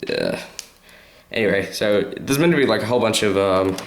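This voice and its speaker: Audible room echo surrounds a man with an Australian accent and a fairly low pitch, speaking with ordinary pitch variation. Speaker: toy reviewer / YouTuber. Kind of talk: product review. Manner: hesitant, many fillers; casual.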